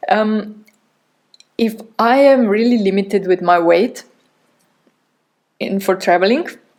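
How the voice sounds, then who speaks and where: Talking at a fairly slow pace with long, frequent pauses, this speaker has a non-native accent and ordinary pitch variation. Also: woman, medium pitch for a woman. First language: not English. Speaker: podcast host. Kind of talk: podcast monologue. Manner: halting.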